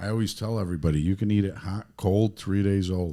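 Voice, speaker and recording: With a strong Chicago accent, a man speaks at a moderate pace in a dark, mellow tone, his fairly low voice moving with lively intonation. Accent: heavy South Side Chicago. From Chicago, South Side. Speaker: pizzeria owner and car builder. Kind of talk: casual chat.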